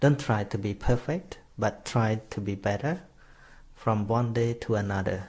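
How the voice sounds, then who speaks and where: In a very clean recording with a silent background, the speaker talks fairly slowly with a Khmer accent, somewhat breathy and with ordinary pitch variation. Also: man, medium pitch for a man. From Cambodia. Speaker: Buddhist monk teacher. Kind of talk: dharma talk. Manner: halting.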